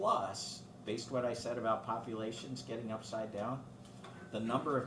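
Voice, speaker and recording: A man's very fast speech with fairly even intonation, audible room echo and noticeable background noise. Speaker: guest speaker on aging and finance. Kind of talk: talk to a club with Q&A.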